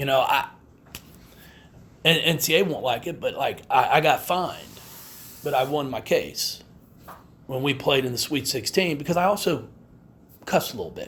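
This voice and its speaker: Amid audible room echo, a man speaks at a moderate pace, leaving long, frequent pauses. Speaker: women's basketball head coach. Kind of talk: press conference. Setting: media day press room. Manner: halting, repeated words.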